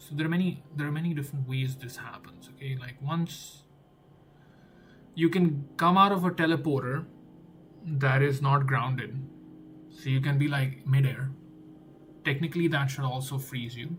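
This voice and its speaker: Music plays in the background as a man with a non-native accent speaks at a fairly high pitch and a moderate pace. His intonation is fairly even, his loudness swings widely, and his pauses are long and frequent. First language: not English. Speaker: game developer streamer. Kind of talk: live coding stream. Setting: live stream. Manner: thinking aloud, repetitive.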